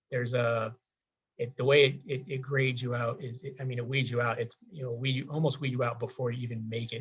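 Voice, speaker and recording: A man speaks at a fairly quick pace in a somewhat breathy, medium-pitched voice with ordinary pitch variation. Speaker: government employee giving career advice. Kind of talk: career workshop walkthrough. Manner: fast; halting.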